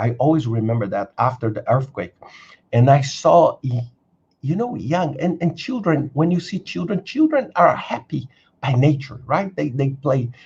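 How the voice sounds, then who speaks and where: A man with a Brazilian accent, fairly high in pitch, somewhat breathy, with lively intonation at a moderate pace. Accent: non-native English, Brazilian. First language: Brazilian Portuguese. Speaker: career coach and video creator. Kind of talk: live stream Q&A. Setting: live stream. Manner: halting, many fillers and repetitions.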